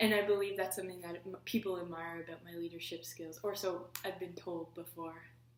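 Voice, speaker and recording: With a Canadian Maritime accent, a woman speaks at a fairly quick pace with hardly any pauses. Her fairly low voice swings widely in loudness. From Prince Edward Island, Canada. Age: 20s. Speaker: political science student. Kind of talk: application video talk to camera.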